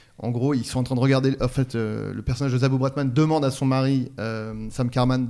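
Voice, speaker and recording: In a dark, mellow tone, a man speaks at medium pitch with monotone, flat intonation. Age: 40s. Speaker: podcast co-host. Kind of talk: casual chat about comedy films.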